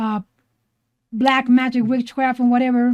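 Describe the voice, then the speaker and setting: A woman's high-pitched voice with a Spanish accent. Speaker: podcast co-host, artist. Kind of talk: casual chat.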